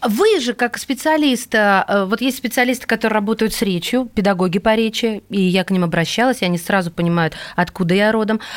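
This is a plain, everyday voice with ordinary pitch variation, very even loudness and a fairly quick pace. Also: woman, fairly high pitch for a woman. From Russia, Kursk. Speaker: radio host. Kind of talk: radio interview.

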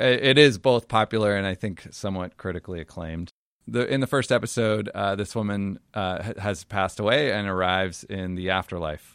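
In a plain, everyday voice, a man speaks at a fairly quick pace with hardly any pauses, his fairly low pitch showing ordinary variation in a dry, close sound with no echo. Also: very clean recording, silent background. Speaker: podcast host. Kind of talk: casual chat.

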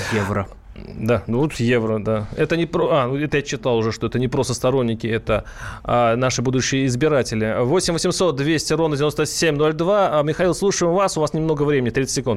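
A man's medium-pitched, ordinary speaking voice, with very even loudness, ordinary pitch variation and a moderate pace. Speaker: radio host. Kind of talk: radio talk show. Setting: studio.

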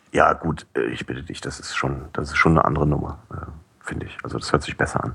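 Whispering at a very fast pace, a man shifts widely in loudness over noticeable background noise. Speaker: podcast curator and newspaper employee. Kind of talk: casual chat. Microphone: cheap headset with high noise.

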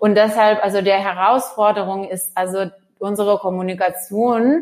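Fairly slow delivery with fairly even intonation on a very clean recording, silent background. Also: woman. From former Soviet Union. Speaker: managing director of a children's digital education nonprofit. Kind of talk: interview. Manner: halting, many filler sounds.

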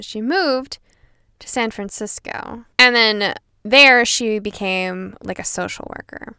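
Recorded very cleanly against a silent background, this voice has a bright, sharp, animated tone and moves at a fairly slow pace. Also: woman. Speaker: podcast co-host. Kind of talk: casual chat.

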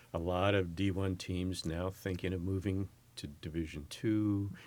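Against a silent background in a very clean recording, a speaker with an American accent keeps a fairly even intonation. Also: man. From US West Coast, San Francisco Bay Area. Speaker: university president. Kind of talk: interview.

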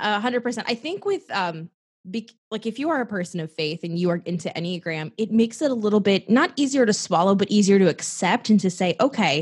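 Over a quiet background, a woman with a medium pitch and a somewhat breathy voice talks at a fairly quick pace with lively intonation. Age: 20s. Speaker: life coach. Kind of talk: casual interview.

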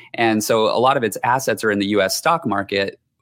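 The man has an unremarkable speaking voice with a fairly low pitch. He talks at a moderate pace with ordinary pitch variation. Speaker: accounting professor. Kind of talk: technical explanation. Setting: video call.

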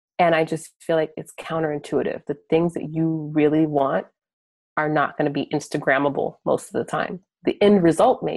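With an American accent, the speaker keeps a moderate pace and ordinary pitch variation. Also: woman, very deep, low pitch for a woman. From US, military bases. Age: 30s. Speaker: project manager and producer. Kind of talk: casual interview chat.

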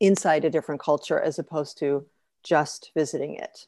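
A woman's fairly low, dark, mellow voice at a moderate pace, with a dry, close sound with no echo and a quiet background. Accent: Chicago. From US Midwest, Chicago. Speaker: author, expat spouse. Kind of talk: interview conversation.

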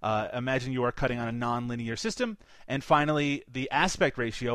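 Against a quiet background, a man with an ordinary speaking voice talks at a moderate pace in a medium pitch with ordinary pitch variation. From Canada. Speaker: film podcast co-host. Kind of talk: casual chat.

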